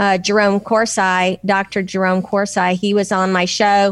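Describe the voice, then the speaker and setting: A woman with a Southern US accent speaks at a fairly slow pace. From Nashville, Tennessee. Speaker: political commentator guest. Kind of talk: angry rant about politics.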